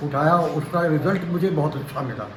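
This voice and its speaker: A man's speech comes through with audible room echo and noticeable background noise. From Prayagraj, Uttar Pradesh, India. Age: 70s. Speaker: dairy farmer. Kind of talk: interview.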